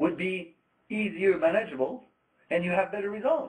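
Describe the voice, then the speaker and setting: Speaking with a Quebec accent, a man talks at a moderate pace. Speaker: trade trainer, former trader. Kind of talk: lecture. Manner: hesitant, many fillers.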